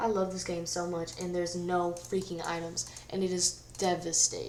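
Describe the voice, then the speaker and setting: Over noticeable background noise and audible room echo, a woman speaks at a fairly slow pace. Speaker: gaming YouTuber. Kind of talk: gameplay commentary. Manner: casual, chatty.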